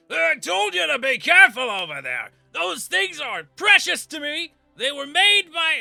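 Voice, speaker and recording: Faint music plays in the background as a man uses a put-on character voice at a moderate pace. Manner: gruff, scolding.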